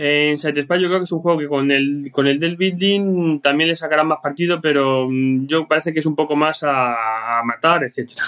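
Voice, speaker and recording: This is a normal speaking voice from a man at a fairly high pitch. He keeps a moderate pace and fairly even intonation. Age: 40s. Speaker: board game player. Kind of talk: casual chat.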